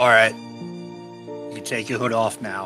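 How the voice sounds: Over clear music in the background, a man puts on a gruff character voice and speaks at a fairly slow pace.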